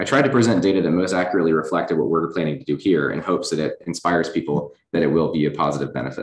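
Over a quiet background with audible room echo, a man with an American accent talks at a very fast pace with hardly any pauses, using a very deep, low pitch, lively intonation and vocal fry. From Virginia (Lynchburg); Virginia. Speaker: chief resident physician; presenter. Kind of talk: lecture. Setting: hospital auditorium, in person and streamed. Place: hall.

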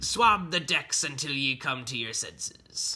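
A man's bright, sharp put-on character voice at medium pitch, slow in pace and lively in intonation

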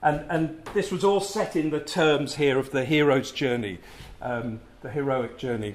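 A man at a fairly slow pace and medium pitch

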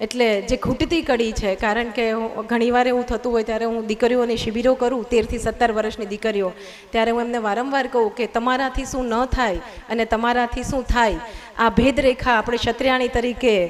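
Noticeable background noise sits behind a woman's fairly high pitch. Her intonation is monotone and flat. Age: young. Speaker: social worker. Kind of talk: public speech. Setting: stage with audience. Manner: formal.

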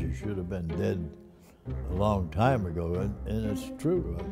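A man speaking at a fairly slow pace over clear music in the background. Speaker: interviewee. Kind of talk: interview answer. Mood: relaxed, wry. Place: home room.

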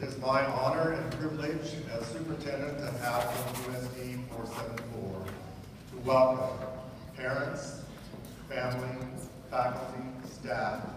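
The room echo is strong and background noise is noticeable. A man speaks at a fairly slow pace. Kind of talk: formal ceremony welcome speech. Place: hall.

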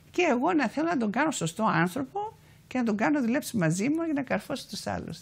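Speaking at a moderate pace with a Cypriot accent, a woman uses a high pitch and very wide pitch swings. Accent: Cypriot Greek. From Cyprus, Famagusta; Cyprus. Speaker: activist and author; guest. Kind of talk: TV interview. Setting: TV studio. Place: studio. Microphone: lapel.

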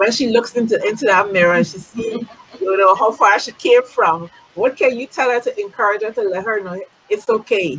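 A woman at a fairly quick pace, animated in tone, with big swings in loudness. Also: ordinary pitch variation. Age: 50s. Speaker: beauty industry talk show host. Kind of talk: casual interview. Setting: live-streamed video call. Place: home room.

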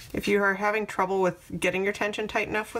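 Vocal fry runs through a woman's very fast speech. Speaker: crochet tutorial creator. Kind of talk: tutorial.

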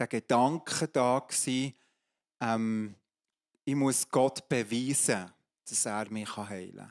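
A man talks at a very slow pace in a medium pitch. His pitch variation is ordinary, and the background is quiet. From Switzerland, Emmental (Bern); Switzerland. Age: 50s. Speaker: pastor and coach; pastor, coach. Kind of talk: testimony in a church talk service. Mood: earnest, personal testimony. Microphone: handheld.

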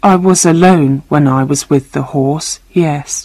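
A shaky, put-on character voice, low-to-middle in pitch, at a fairly slow pace

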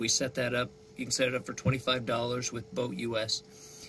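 Against light background noise, a man talks at a moderate pace. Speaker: sailing vlogger. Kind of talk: tutorial. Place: boat. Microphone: lapel.

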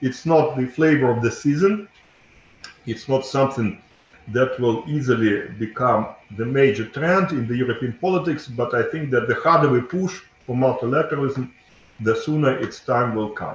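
Over audible room echo, a man talks at a moderate pace with ordinary pitch variation. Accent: Russian. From Russia. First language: Russian. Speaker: think tank director; speaker. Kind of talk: panel presentation. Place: office. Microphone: video call.

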